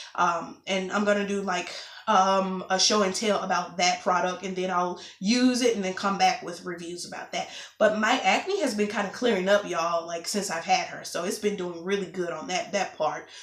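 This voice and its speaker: Amid noticeable background noise and audible room echo, a woman talks at a moderate pace and medium pitch with fairly even intonation. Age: 20s. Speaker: vlogger. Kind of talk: casual vlog update.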